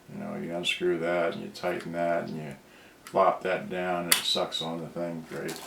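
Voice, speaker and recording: The speech moves at a moderate pace against noticeable background noise. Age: 60s. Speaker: product reviewer. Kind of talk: live unboxing video. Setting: live stream. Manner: halting.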